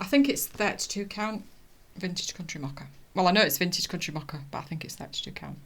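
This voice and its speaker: A woman's very fast speech with lively intonation. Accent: British. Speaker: cross stitch vlogger. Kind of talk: casual chat. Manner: halting.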